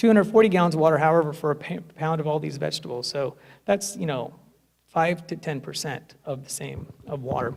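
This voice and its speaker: This man talks very fast at a fairly high pitch. His pitch varies in an ordinary way. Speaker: lawyer and vegan festival speaker. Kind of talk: public talk. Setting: stage with audience. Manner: animated.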